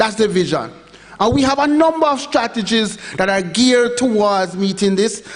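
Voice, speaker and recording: Someone speaks at a moderate pace with a Jamaican accent. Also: man. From Jamaica, Montego Bay. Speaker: education official presenter. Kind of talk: conference presentation.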